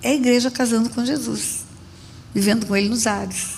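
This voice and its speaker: There is audible room echo on this recording. A woman speaks at a high pitch. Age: 70s. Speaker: pastor. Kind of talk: sermon.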